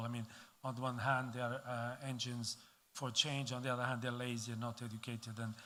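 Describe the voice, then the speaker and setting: The speaker has a Portuguese accent, and audible room echo surrounds the voice. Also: man. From Portugal. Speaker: diplomat. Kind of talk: conference speech. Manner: halting, many fillers.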